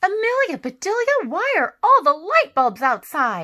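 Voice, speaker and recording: Using a put-on character voice, a woman projects a raised, squeaky voice at an extremely high pitch, with very wide pitch swings and a moderate pace. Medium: read story. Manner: mild, polite.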